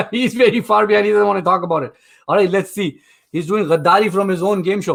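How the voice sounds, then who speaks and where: A man with a high-pitched voice speaks in an animated tone. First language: not English. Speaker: game show host. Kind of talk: live game show hosting.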